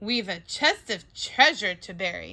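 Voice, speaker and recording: Fairly slowly, someone performs in a put-on character voice. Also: woman. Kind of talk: bedtime story. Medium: read story. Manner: loud, bellowing.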